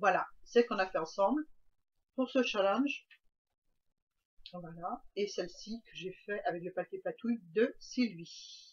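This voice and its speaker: A woman speaks at a very slow pace with long, frequent pauses. Her loudness swings widely. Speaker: craft youtuber. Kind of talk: craft tutorial. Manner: hesitant, many fillers.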